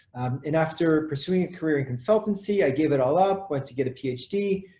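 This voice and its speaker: A man talks at a fairly quick pace and a high pitch. His tone is dark and mellow. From France. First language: French. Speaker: educator. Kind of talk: webinar introduction. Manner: halting.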